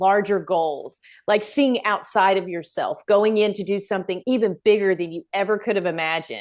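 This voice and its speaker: An animated, energetic woman's voice at medium pitch, with ordinary pitch variation and a quiet background. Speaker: business coach for moms. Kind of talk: casual chat.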